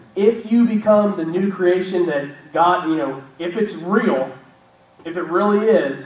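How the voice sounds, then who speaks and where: A loud, high-pitched man at a fairly slow pace, with noticeable background noise and audible room echo. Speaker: church show host. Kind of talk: casual faith discussion. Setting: live stream with studio audience. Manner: halting.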